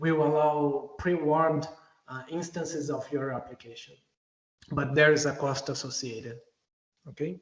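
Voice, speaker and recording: Speaking with a non-native accent, a man with a fairly high pitch keeps fairly even intonation at a moderate pace, with long, frequent pauses. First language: not English. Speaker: software engineer presenting at a user group. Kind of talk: technical presentation. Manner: hesitant, many fillers.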